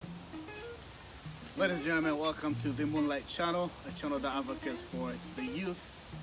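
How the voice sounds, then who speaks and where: A man speaking with hardly any pauses, music in the background. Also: moderate pace. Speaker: channel host, interviewer. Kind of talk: casual show introduction.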